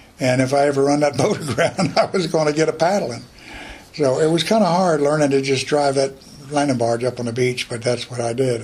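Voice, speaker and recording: A man's medium-pitched voice with an American accent, fairly quick, with ordinary pitch variation and noticeable background noise. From North Carolina coast, Morehead City. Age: 80s+. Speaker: war veteran. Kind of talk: interview testimony.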